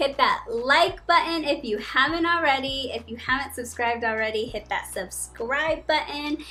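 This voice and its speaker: Raised and projected, the voice sounds animated and enthusiastic, with lively intonation, a moderate pace and hardly any pauses. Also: woman, high pitch for a woman. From Colombia (Barranquilla). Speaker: YouTuber, travel vlogger. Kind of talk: casual vlog talk to camera. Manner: animated, enthusiastic.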